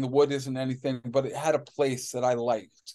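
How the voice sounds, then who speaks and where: Moving at a moderate pace, a man's dark, mellow tone sits at a fairly high pitch. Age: 50s. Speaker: farmer. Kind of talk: roundtable discussion.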